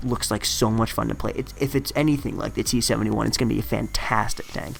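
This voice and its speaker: Noticeable background noise and a man talking at a fairly quick pace. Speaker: gaming commentator. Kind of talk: gameplay voiceover commentary. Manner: casual, conversational.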